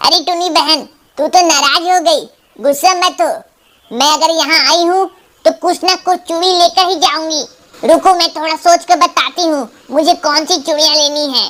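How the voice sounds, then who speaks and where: An extremely high-pitched, cartoonish character voice, female-sounding, at a moderate pace. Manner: loud and dramatic.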